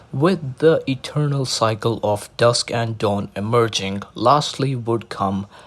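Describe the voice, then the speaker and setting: A man's somewhat breathy, medium-pitched voice at a very slow pace. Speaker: narrator reading mythology aloud. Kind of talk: casual intro; reading aloud. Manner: monotone.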